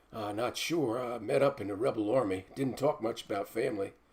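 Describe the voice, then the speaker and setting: A raspy, put-on character voice from a man, medium in pitch and at a fairly quick pace. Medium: read story. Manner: rough backwoods speech.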